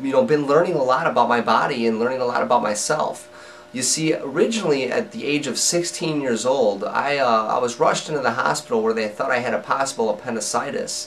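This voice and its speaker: A man's lively intonation comes through amid noticeable background noise. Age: 30s. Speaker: person living with Crohn's disease. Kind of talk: personal story to camera. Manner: casual, conversational with fillers.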